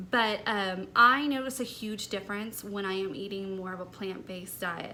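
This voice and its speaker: A woman speaks at a moderate pace with a medium pitch and fairly even intonation. Her tone is bright and sharp, and the room echo is audible. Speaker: lifestyle vlogger. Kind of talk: personal vlog talk. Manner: light and airy.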